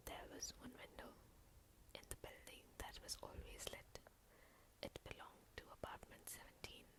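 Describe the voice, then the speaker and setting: The voice is a whisper. It has long, frequent pauses. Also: moderate pace. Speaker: ASMR storyteller. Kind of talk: ASMR story reading. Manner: soft-spoken, calm.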